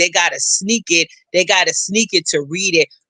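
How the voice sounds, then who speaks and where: A man with a high pitch uses a raised, projected voice and an animated tone. His bright, sharp sound is dry and close, with no echo. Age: 60s. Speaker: political commentator, housing specialist. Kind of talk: panel discussion.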